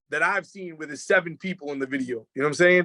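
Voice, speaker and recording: This man talks at a very fast pace in a Boston accent, with a high pitch and ordinary pitch variation. His tone is bright, sharp and animated. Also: dry, close sound with no echo. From Boston area, Massachusetts. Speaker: rapper and producer. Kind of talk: casual interview chat. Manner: animated, fast.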